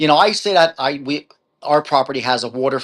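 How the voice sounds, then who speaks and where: Man with a strong New Jersey accent, fairly high pitch and lively intonation, over a quiet background. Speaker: author. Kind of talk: interview. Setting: live video stream.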